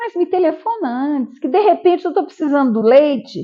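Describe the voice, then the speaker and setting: A woman with a high voice talks at a moderate pace, her pitch swinging very widely. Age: 70s. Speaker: elderly care home director. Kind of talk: documentary interview. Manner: halting.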